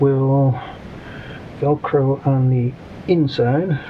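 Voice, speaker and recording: Over noticeable background noise, a man speaks at a fairly high pitch in a monotone, flat intonation. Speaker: RC hobby youtuber. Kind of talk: hobby tutorial. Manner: casual, hesitant with many ums; mumbling.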